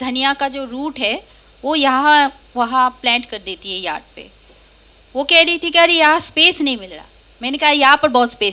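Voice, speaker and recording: A woman uses a raised, projected voice. Her pitch is high, with ordinary variation. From Kolkata, India. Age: 30s. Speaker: stand-up comedian. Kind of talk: stand-up. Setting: stage with audience.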